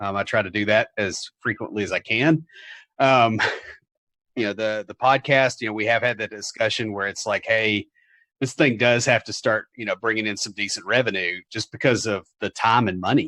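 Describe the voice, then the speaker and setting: Against a quiet background, a man with a Southern US accent speaks at a medium pitch and moderate pace, his bright, sharp tone and fairly even intonation captured in a dry, close sound with no echo. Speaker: software developer and podcaster. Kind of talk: casual interview. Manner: hesitant, many fillers.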